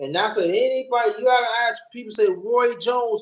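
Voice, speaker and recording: In an extremely high pitch, a man talks with lively intonation. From New York City (Brooklyn). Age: 50s. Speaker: boxing fan guest. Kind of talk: casual chat.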